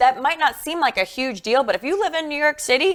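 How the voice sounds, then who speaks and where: Here a woman speaks with an East Coast accent. Her pace is fairly quick. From US East Coast. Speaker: talk show co-host, former reporter. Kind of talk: casual news discussion.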